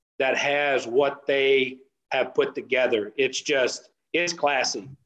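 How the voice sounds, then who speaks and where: A man with a West Texas accent, fairly high in pitch, at a very slow pace. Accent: West Texas drawl. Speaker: off-road racer. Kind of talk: casual chat.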